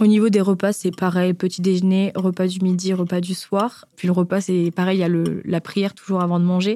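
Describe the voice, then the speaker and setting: In a monotone, flat intonation, the voice has a dark, mellow tone, a fairly quick pace, and very even loudness on a very clean recording with a silent background. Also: woman, medium pitch for a woman. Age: 20s. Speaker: business school student. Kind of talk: personal testimony.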